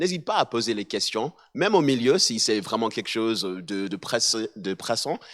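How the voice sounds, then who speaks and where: Against a silent background in a very clean recording, a man with an American accent speaks at a moderate pace. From mixed: USA, Switzerland, South Africa, Barbados. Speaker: musician and assistant pastor. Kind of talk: talk to an audience. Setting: hall with live audience. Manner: halting, many hesitations and repetitions.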